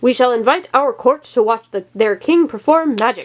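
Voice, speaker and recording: High-pitched put-on character voice from a woman, moderate in pace. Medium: read story. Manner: imperious.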